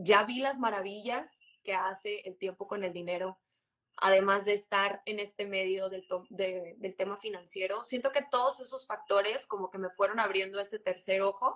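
A woman with a plain, everyday voice talks at a moderate pace and medium pitch with fairly even intonation. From Monterrey, northern Mexico. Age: 20s. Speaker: insurance and investment advisor. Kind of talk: casual chat on a live stream. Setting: live stream, remote connection.

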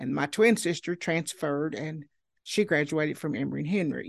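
A woman speaks with an Appalachian accent. The background is quiet. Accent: Appalachian Southern US. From Southwest Virginia (Marion). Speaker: local historian and genealogist. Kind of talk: interview.

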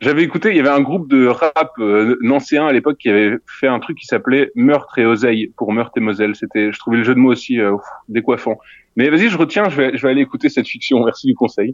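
Very fast pace from a man. His pitch moves with ordinary variation. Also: medium pitch for a man. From Lorraine, France (near Nancy). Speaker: audio fiction creator. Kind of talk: interview. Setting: remote call from a theatre hall. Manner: halting.

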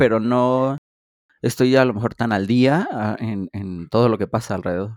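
A man speaks at a moderate pace. He talks with a Mexican accent. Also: dry, close sound with no echo. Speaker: podcast co-host. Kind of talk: casual chat.

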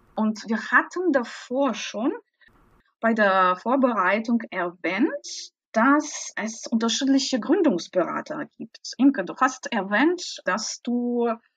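A woman with a non-native accent talks with lively intonation, her sound dry and close with no echo. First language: not German (speaking German). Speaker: podcast host, translator. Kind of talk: podcast interview.

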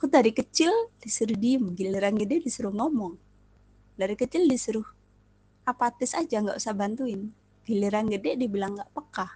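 A woman's fairly high, somewhat breathy voice with a dark, mellow tone, lively intonation and a fairly quick pace. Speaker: podcast host. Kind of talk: personal monologue. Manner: fast.

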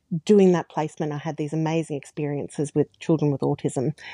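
A woman with an Australian accent speaks with a very deep, low pitch and a dark, mellow tone. The sound is dry and close with no echo, over a quiet background. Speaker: speech pathologist. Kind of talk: casual interview chat.

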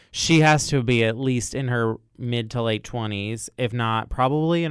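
A man with an unremarkable speaking voice and an American accent, medium in pitch, with ordinary pitch variation and hardly any pauses. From US South, Louisville, Kentucky. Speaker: theater professor. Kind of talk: casual chat.

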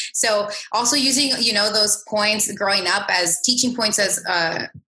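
A woman with a normal speaking voice talks at a moderate pace in a medium pitch. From Canada. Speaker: podcast co-host. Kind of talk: casual chat.

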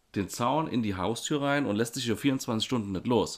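This man has a normal speaking voice at medium pitch, with lively intonation and a moderate pace. The recording is very clean, with a silent background. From Germany, Rhineland-Palatinate (Baumholder). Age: 30s. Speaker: podcast co-host, educator. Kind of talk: casual chat.

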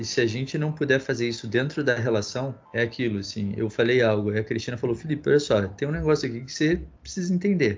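Somewhat breathy and very fast, the speech has lively intonation and hardly any pauses. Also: man, medium pitch for a man. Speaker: podcast host. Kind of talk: moderated discussion.

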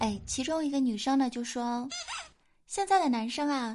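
Noticeable background noise sits behind a woman who speaks at a fairly slow pace with a high pitch and lively intonation. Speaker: podcast host. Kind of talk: comedic casual chat show. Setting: studio. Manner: animated.

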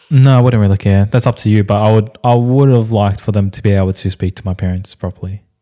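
In a very clean, dry, close recording with no echo and a silent background, a man with an Australian accent talks very fast with hardly any pauses, his dark, mellow tone set at a fairly low pitch, fairly even intonation and big swings in loudness. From Australia, Vietnamese immigrant family. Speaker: podcast co-host. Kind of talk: casual chat.

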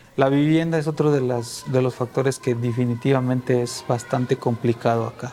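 A medium-pitched man's voice with hardly any pauses and monotone, flat intonation, over noticeable background noise. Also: moderate pace. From Guatemala. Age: 30s. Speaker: refugee. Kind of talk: testimony.

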